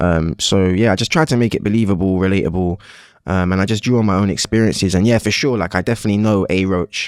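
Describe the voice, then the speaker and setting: A man with a London accent and fairly low pitch talks at a very fast pace, with ordinary pitch variation and very even loudness. The recording is very clean and dry, close with no echo and a silent background. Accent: colloquial multiethnic London. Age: 30s. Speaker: actor. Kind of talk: casual interview chat.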